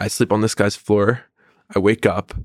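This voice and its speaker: In an American accent, a man speaks at a medium pitch with a dry, close sound and no echo. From Philadelphia, US. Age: 20s. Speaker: startup founder. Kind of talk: long-form interview conversation.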